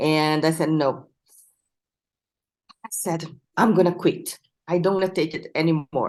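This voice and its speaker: A woman at a moderate pace, with long, frequent pauses. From Brazil. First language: Portuguese. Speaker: mind mapping instructor. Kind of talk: interview.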